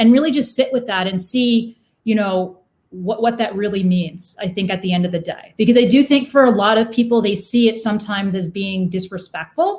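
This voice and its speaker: At a fairly quick pace, a woman speaks in a fairly high, somewhat breathy voice with ordinary pitch variation. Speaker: podcast guest. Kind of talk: casual interview conversation. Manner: fast.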